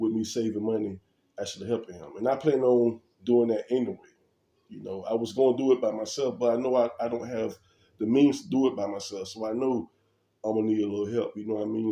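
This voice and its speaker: A man with a dark, mellow tone and medium pitch talks at a fairly quick pace. His intonation is fairly even, broken by long, frequent pauses. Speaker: vlogger, property investor. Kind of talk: casual vlog talk. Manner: casual, hesitant.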